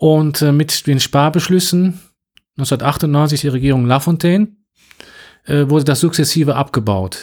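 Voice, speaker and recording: The recording is very clean, with a silent background. A man with a normal speaking voice talks at a fairly high pitch with ordinary pitch variation. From western Germany (North Rhine-Westphalia). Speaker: Russian language teacher. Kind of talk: interview.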